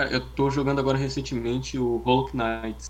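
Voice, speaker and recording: The man's very fast pace is heard with audible room echo. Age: young. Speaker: podcast co-host. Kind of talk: casual chat.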